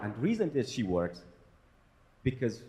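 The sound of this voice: At a moderate pace, a man speaks with a fairly low pitch and a slightly mellow tone.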